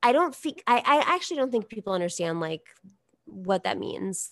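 A woman with a normal speaking voice at medium pitch and moderate pace, in a dry, close sound with no echo and a quiet background. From New York. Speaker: political commentator. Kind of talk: casual chat.

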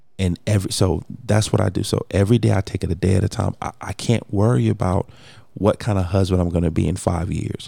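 A man's very deep, low voice with a dark, mellow tone and vocal fry, very fast delivery and ordinary pitch variation. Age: 40s. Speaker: podcast host. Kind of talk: casual chat.

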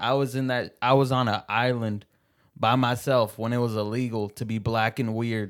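A man with an American accent speaks in monotone, flat intonation. The recording is very clean, with a silent background. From Seattle. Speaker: stand-up comedian. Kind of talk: casual chat.

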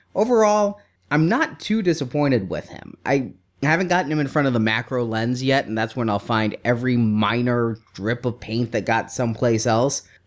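At a moderate pace, the speaker uses lively intonation in an unremarkable speaking voice, recorded very cleanly with a silent background. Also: man. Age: 30s. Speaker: podcast co-host. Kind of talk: casual chat.

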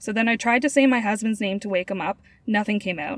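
Someone is doing plain reading aloud here.

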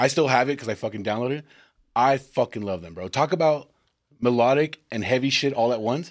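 In a very clean recording with a silent background, a man with an American accent uses a normal speaking voice at a medium pitch and a fairly quick pace, with ordinary pitch variation and big swings in loudness. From Texas. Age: 30s. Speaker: podcast host. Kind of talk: casual chat.

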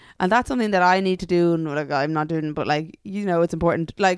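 On a very clean recording with a silent background, a woman with an Irish accent speaks at a fairly quick pace. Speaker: podcast co-host. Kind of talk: casual chat. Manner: animated, laughs often.

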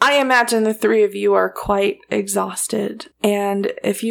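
Someone reads in a natural voice. The pitch varies an ordinary amount.

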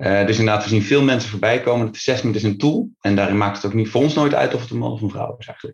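A man with a medium pitch and a somewhat breathy voice talks at a very fast pace with ordinary pitch variation. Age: 30s. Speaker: business partner in an assessment and coaching firm. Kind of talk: casual interview.

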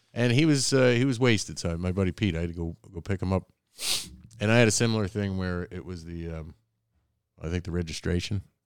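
A man with a very deep, low pitch talks at a very fast pace, broken by long, frequent pauses, with ordinary pitch variation. The recording is very clean, with a silent background. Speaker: podcast host. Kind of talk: casual banter.

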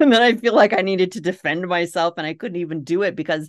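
With a Minnesota accent, a woman talks at a fairly quick pace against a quiet background. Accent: Minnesota accent, noticeable. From Minnesota, US Midwest. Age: 40s. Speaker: author and homesteader podcaster. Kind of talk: casual interview chat.

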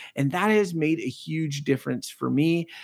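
A man speaks at a fairly quick pace with lively intonation and a fairly high pitch. The recording is very clean and dry, close with no echo, against a silent background. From Quebec, Canada. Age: 40s. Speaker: podcaster and father. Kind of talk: casual interview chat. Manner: halting, many repetitions and fillers.

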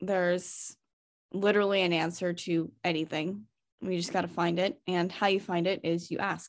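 Her voice fairly low and flat in a monotone, a woman speaks at a moderate pace. The recording is very clean, with a silent background. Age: 20s. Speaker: weightlifter. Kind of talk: casual chat.

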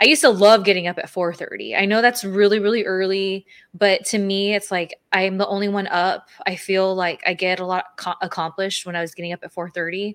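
A woman's unremarkable speaking voice at a medium pitch, fairly quick and with hardly any pauses, on a very clean recording with a silent background. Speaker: podcast co-host, former wrestler and content creator. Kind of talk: casual chat. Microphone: new audio equipment, first time using it.

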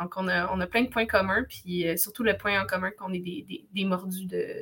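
This woman, with an unremarkable speaking voice, keeps fairly even intonation and a moderate pace. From Quebec, Wolastoqey community near Cacouna. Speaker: language student and cultural facilitator. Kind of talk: casual interview.

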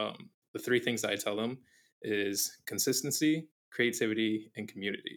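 An unremarkable speaking voice from a man with an American accent, medium pitch and ordinary pitch variation, in a very clean recording with a silent background. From Arizona. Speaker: photographer and content creator. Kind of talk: casual interview.

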